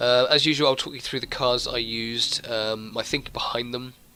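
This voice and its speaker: Over background music, a man talks at a fairly quick pace in a medium pitch. His intonation stays fairly even. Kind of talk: game guide commentary. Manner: quiet.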